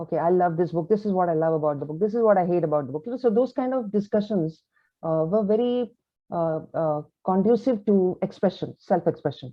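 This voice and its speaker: With a Kannada accent, a woman speaks at a fairly quick pace in a medium pitch, her intonation lively. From India, grew up in Delhi and Calcutta. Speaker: author. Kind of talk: interview. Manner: hesitant, many fillers.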